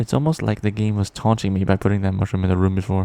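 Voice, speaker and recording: A man speaks in a dark, mellow tone. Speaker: gaming video creator. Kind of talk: game analysis narration. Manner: exasperated, ranting.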